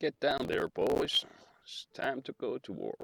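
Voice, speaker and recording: In a put-on character voice, a man speaks raspy and extremely high, his voice raised and projected, at a fairly slow pace. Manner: rallying, commanding.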